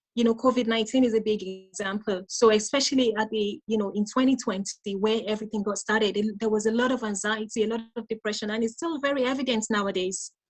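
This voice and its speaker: With music in the background, a woman talks at a very fast pace with hardly any pauses and fairly even intonation. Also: fairly high pitch for a woman. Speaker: mental health nurse and life coach giving a talk. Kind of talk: interactive conference talk. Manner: teacher-like.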